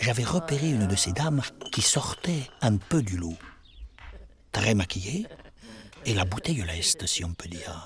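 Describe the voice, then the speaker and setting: Over background music, a man with a southern French accent speaks at a fairly slow pace and fairly low pitch, swinging very widely in pitch and pausing long and often. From Paris, France. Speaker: witness recounting childhood memories. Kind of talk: personal narration of memories.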